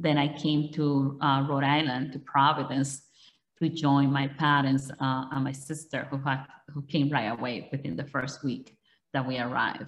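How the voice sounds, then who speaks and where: Speaking at a fairly slow pace, a woman uses a very deep, low voice with flat, monotone intonation. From Dominican Republic. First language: Spanish. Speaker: politician. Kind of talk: interview. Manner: halting.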